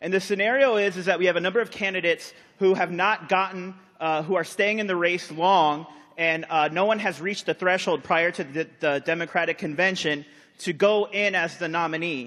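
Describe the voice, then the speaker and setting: Loud and quick, a man talks in a bright, sharp tone at a high pitch, keeping his intonation fairly even. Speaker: convention delegate. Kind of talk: floor debate speech.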